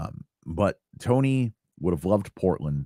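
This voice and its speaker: Heard with a dry, close sound and no echo, the voice moves at a fairly slow pace through very wide pitch swings in a dark, mellow tone. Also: man. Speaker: podcast host. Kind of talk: casual monologue. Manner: lackadaisical, low energy; halting, repetitive.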